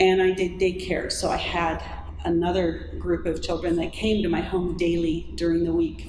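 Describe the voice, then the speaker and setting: Amid audible room echo and noticeable background noise, a woman speaks at a moderate pace. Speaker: pro-life speaker. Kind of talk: talk to audience; testimony. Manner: conversational.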